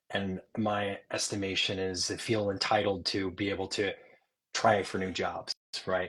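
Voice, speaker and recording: A man speaks in a somewhat breathy voice. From Upstate New York. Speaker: Air Force veteran and media executive. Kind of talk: interview. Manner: casual, filler-heavy.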